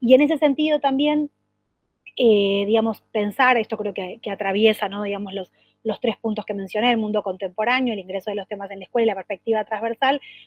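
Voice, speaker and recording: Talking at a fairly quick pace, a woman with a fairly high pitch shows ordinary pitch variation and big swings in loudness. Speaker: education official. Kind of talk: work meeting presentation. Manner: fast; halting with many repetitions and fillers.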